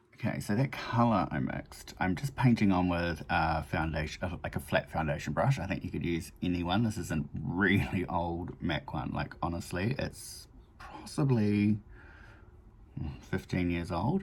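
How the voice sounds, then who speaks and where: With a New Zealand accent, the voice sounds relaxed and somewhat breathy, moving at a moderate pace with lively intonation. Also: man, very deep, low pitch for a man. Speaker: makeup vlogger. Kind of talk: casual chat tutorial. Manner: relaxed, rambling with fillers.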